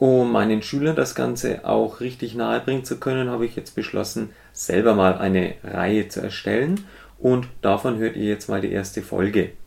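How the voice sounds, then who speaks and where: Speaking at a moderate pace, a man with a fairly low pitch uses an unremarkable speaking voice with ordinary pitch variation. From Germany, Middle Franconia. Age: 30s. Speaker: music teacher and podcaster. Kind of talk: casual solo podcast monologue.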